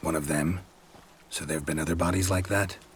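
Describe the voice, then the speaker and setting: In a raspy, put-on character voice, a man speaks at a very deep, low pitch and a fairly quick pace. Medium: video game. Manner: terse, dry, clipped.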